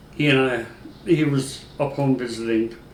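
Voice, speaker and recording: With audible room echo, a man talks in an American accent. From northeastern Pennsylvania. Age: 60s. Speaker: retired sheriff's deputy. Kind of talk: interview. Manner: halting, frequent fillers.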